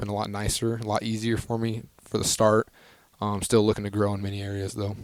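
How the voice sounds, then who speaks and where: On a very clean recording with a silent background, a man with an American accent speaks very fast in a fairly low, monotone, flat voice. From northern Idaho. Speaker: college basketball player. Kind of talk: interview. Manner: soft-spoken; halting with many ums.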